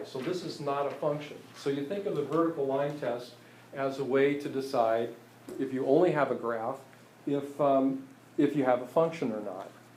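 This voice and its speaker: There is audible room echo as a man talks at a moderate pace, his pitch fairly high with ordinary variation. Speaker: math teacher. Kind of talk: lecture. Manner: halting, many fillers.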